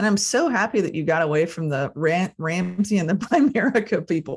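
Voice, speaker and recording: A woman speaks at a fairly quick pace, somewhat breathy. Her medium-pitched voice has lively intonation. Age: 50s. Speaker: podcast host. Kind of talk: podcast interview.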